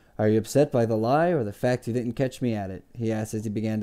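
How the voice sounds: Only a natural reading voice.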